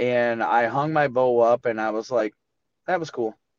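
A man with an American accent has an unremarkable speaking voice at medium pitch with ordinary pitch variation. The sound is dry and close with no echo, over a quiet background. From Michigan. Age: 30s. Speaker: deer hunter. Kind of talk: casual interview.

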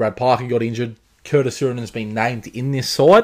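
Speaking at a fairly quick pace with an Australian accent, a man is heard in a very clean recording with a silent background. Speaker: rugby league tipster podcaster. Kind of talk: solo podcast, sports predictions and recap. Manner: halting, filler words, hesitant.

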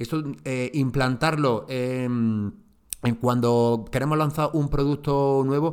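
At a very slow pace, a man speaks in a medium pitch with fairly even intonation and very even loudness. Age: 40s. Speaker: marketing podcast host. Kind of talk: solo podcast talk on marketing. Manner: hesitant, many fillers and repeats.

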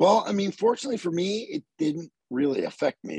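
Heard dry and close with no echo, a man with an American accent talks at a moderate pace. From Southern Maryland, US. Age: 40s. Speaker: metal vocalist. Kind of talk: casual interview chat.

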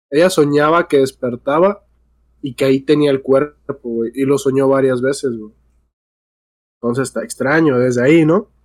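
Speaking in a Mexican accent, a man with a fairly high pitch moves at a moderate pace with ordinary pitch variation and long, frequent pauses. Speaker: podcast co-host. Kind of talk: casual chat.

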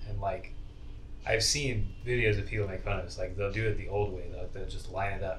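A man with an American accent talks at a fairly quick pace. Audible room echo surrounds his voice. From Idaho. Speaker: psychology student. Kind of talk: casual chat.

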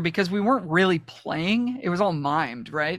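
A man uses a raised, projected voice, high-pitched with a bright, sharp tone and lively intonation, at a moderate pace on a very clean recording with a silent background. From Toronto, Canada. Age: 30s. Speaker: musician and producer. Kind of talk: casual chat.

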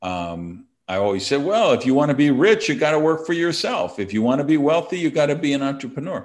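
A man with an American accent talks at a fairly quick pace, with hardly any pauses. His voice sits fairly high, swings very widely in pitch, and is recorded against a quiet background. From Wisconsin, US Midwest. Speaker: entrepreneur and author. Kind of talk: casual interview.

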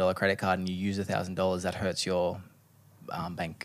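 A man with an Australian accent speaks in a fairly low pitch.

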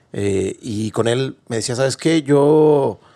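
A man's plain, everyday voice at medium pitch with lively intonation. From Mexico. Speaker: podcast host. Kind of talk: casual interview.

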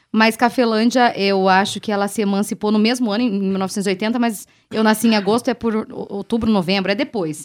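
A woman's normal speaking voice, fairly high-pitched, at a moderate pace with fairly even intonation and hardly any pauses, on a very clean recording with a silent background. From Brazil, western Paraná. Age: 30s. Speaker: radio host. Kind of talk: casual chat. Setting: bar table.

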